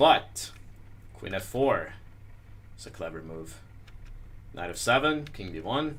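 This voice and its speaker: Mumbling with vocal fry at a fairly slow pace, a man with a fairly low voice swings very widely in pitch and leaves long, frequent pauses, with audible room echo around him. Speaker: chess master presenting a video series. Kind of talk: chess analysis tutorial. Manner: hesitant, many fillers.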